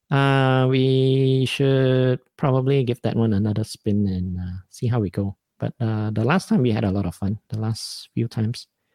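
Someone with an American accent talks at a moderate pace with ordinary pitch variation and hardly any pauses. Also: man, medium pitch for a man. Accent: half Malaysian, half American English. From Malaysia. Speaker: podcast host and stand-up comedian. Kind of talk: casual solo talk with live stream chat. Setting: live stream at home. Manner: casual, hesitant with many fillers.

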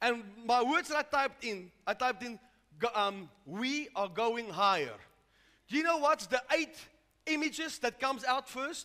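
A man's extremely high, raised, projected voice comes across animated, broken by long, frequent pauses. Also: moderate pace. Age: 60s. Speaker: pastor. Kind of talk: sermon. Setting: church.

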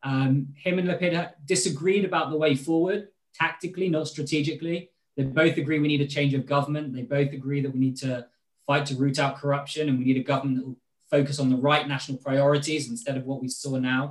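A man with a British accent speaks at a very fast pace, somewhat breathy, at a fairly high pitch with fairly even intonation. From Britain. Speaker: political advisor and spokesperson. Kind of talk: interview.

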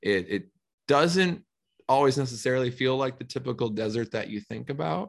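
A man with an American accent talks at medium pitch and a moderate pace, with lively intonation. He has a plain, everyday voice. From Minnesota, US Midwest. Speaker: reptile animal care professional. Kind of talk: podcast interview.

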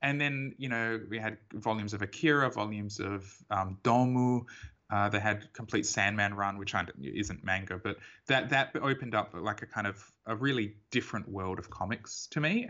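A man in an Australian accent talks at a moderate pace and medium pitch, with ordinary pitch variation. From Perth, Western Australia. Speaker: comics artist. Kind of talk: casual interview. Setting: remote call.

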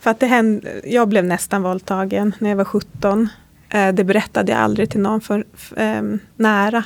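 A woman speaks at a moderate pace in an unremarkable speaking voice, medium in pitch, with fairly even intonation. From Sápmi, Sámi. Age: 30s. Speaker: podcast host. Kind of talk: interview; scripted intro. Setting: hotel room.

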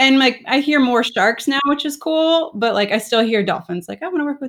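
Delivered in a plain, everyday voice with an American accent, the speech moves at a fairly quick pace with hardly any pauses and lively intonation, on a very clean recording with a silent background. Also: woman. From South Florida. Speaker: marine biologist and podcaster. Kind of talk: casual interview chat.

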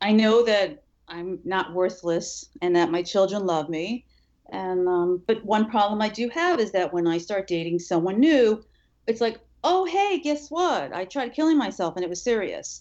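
A woman with a plain, everyday voice speaks at a medium pitch. Her pace is fairly slow and her intonation lively. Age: 50s. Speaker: writer and suicide survivor. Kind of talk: testimony.

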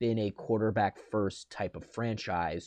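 Against a quiet background, a man talks fairly slowly at a medium pitch, his dark, mellow tone captured dry and close with no echo. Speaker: podcast co-host, sports fan. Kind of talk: casual sports chat. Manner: halting, filler-heavy.

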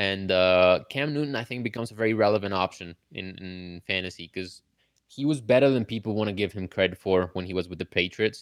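A man with an unremarkable speaking voice talks at a fairly quick pace with ordinary pitch variation. The sound is dry and close, with no echo. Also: fairly low pitch for a man. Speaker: fantasy football analyst. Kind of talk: live call-in interview, sports analysis. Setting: live online stream with callers.

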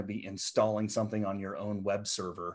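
Against a quiet background, a man with an American accent speaks in a fairly low voice. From US Midwest (central Nebraska). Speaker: founder coach and entrepreneur. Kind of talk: podcast interview.

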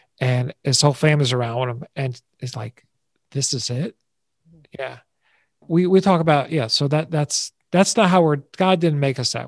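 This man's fairly high, somewhat breathy voice moves at a moderate pace with long, frequent pauses and ordinary pitch variation, captured dry and close with no echo against a quiet background. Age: 60s. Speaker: advertising veteran and stress-free living speaker. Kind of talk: interview conversation.

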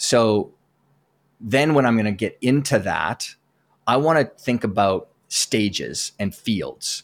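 A man with a Western Canadian accent, medium pitch and ordinary pitch variation, speaking at a very slow pace on a very clean recording with a silent background. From Southern Alberta, Canada. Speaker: performance coach. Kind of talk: interview conversation.

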